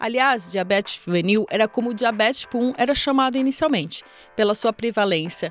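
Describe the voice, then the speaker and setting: Against background music, a woman speaks at a moderate pace and a fairly high pitch with lively intonation. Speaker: podcast host. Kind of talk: podcast intro narration.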